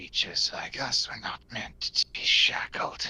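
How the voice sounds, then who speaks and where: A man whispers in a raspy, put-on character voice at a moderate pace. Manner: weary, resigned.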